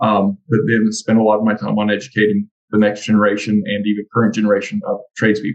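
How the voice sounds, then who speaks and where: A man's fairly low voice in a Texan accent, very fast with hardly any pauses, in a monotone, flat intonation with a dry, close sound and no echo. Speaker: construction trades educator. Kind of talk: casual interview.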